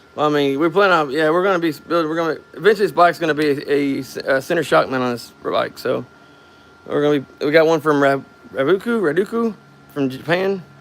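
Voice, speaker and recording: Over noticeable background noise, a man with an American accent speaks very fast at a fairly high pitch with ordinary pitch variation. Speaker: DIY garage vlogger. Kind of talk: casual chat. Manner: halting, repeats words.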